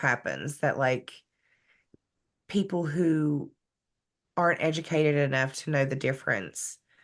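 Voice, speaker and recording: A woman with a Southern US accent speaks at a fairly slow pace with a very deep, low pitch. Her pitch variation is ordinary, and the background is quiet. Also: long, frequent pauses. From West Virginia. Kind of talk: podcast interview answer.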